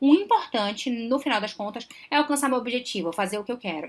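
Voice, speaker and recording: Talking at a very fast pace with lively intonation, a woman with a high pitch is heard on a very clean recording with a silent background. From Belém do Pará, northern Brazil. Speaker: psychologist, relationship advisor. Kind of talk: live stream Q&A talk. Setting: live stream.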